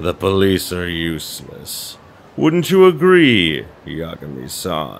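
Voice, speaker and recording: Fairly slow pacing in a put-on character voice. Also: man, very deep, low pitch for a man. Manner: creepy.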